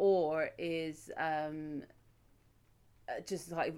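A woman with an English accent, fairly low in pitch and fairly even in intonation, on a very clean recording with a silent background. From England. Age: 30s. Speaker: podcast co-host. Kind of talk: casual chat.

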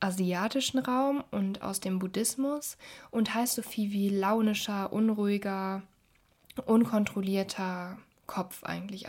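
Speaking at a very slow pace, this somewhat breathy voice holds a fairly even intonation. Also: woman, very clean recording, silent background. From Germany, Düsseldorf. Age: 20s. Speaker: podcast host. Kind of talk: podcast intro monologue.

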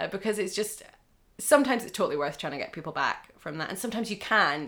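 Very clean and silent in the background, the recording has a woman speaking at a very fast pace. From Scotland, northern Aberdeenshire. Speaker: actor and comedian. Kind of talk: interview.

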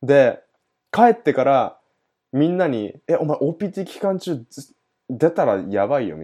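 A man speaks in a fairly high pitch with a dark, mellow tone. His voice makes very wide pitch swings and big swings in loudness. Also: fairly slow pace. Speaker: podcast host. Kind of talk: casual chat.

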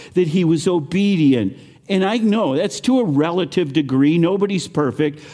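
The voice has a dark, mellow tone and lively intonation. It moves at a fairly slow pace. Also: man. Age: 70s. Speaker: preacher. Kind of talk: sermon. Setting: stage with audience.

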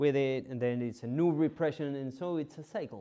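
This man, with a non-native accent, has a dark, mellow tone and a fairly high pitch, with ordinary pitch variation. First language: not English. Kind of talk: homily. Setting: church. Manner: halting.

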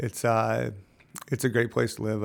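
In an American accent, a man is talking. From upstate New York, Lake George area. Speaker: nonprofit founder, recovery cycling. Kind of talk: interview. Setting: in person. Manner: halting, many fillers.

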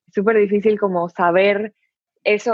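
A woman speaks at a fairly slow pace in an unremarkable speaking voice, her pitch medium and her intonation fairly even. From Dominican Republic. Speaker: university student. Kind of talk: casual chat. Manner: code-switching Spanish and English.

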